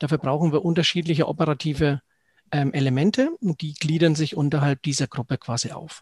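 On a very clean recording with a silent background, a somewhat breathy man with a fairly high pitch and ordinary pitch variation speaks at a fairly quick pace, dry and close with no echo. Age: 40s. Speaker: financial advisor. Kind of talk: interview.

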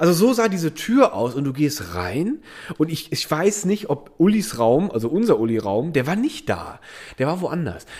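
A man with a fairly high pitch swings very widely in tone, his voice showing vocal fry. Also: moderate pace. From Germany, Eifel region. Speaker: podcast co-host. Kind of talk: casual chat.

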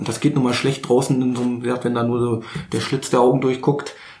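A man at a very fast pace, with noticeable background noise and audible room echo. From Berlin, Germany. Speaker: wedding and school photographer. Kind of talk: casual chat.

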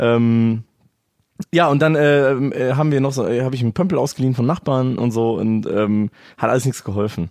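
With an ordinary speaking voice, a man talks at a moderate pace and medium pitch, showing ordinary pitch variation and very even loudness. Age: 20s. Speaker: podcast guest. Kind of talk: casual chat.

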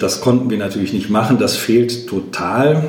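A man at a moderate pace, fairly even in intonation, with audible room echo and noticeable background noise. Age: 50s. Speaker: trade union leader. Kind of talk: interview.

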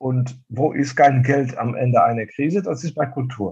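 This man's voice is fairly high in pitch. It comes across as somewhat breathy. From Netherlands, eastern border region. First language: Dutch (speaking German). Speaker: fabric wholesale sales representative. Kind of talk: casual interview.

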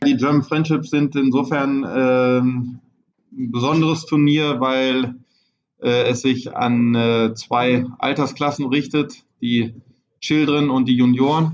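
A man speaks very slowly at a medium pitch, his intonation flat and monotone. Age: 40s. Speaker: show jumping trainer. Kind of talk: interview. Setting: on location at a horse farm.

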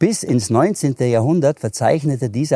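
Recorded very cleanly over silence, with a dry, close sound and no echo, a man in a Swabian accent speaks at a medium pitch in a dark, mellow tone, with ordinary pitch variation. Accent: Allgäu Swabian dialect. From Allgäu, Bavaria (Hindelang). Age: 50s. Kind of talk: casual interview.

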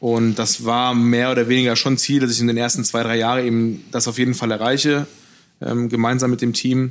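A man speaks fairly quickly at medium pitch. His intonation is monotone and flat, and his loudness very even. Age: 30s. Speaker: pastry chef. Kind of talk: interview conversation. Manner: hesitant fillers.

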